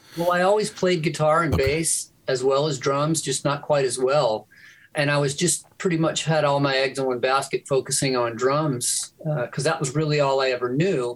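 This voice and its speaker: A man with fairly high pitch and ordinary pitch variation sounds somewhat breathy, keeping his loudness very even. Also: moderate pace. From Louisiana, Shreveport. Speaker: music producer. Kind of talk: casual chat.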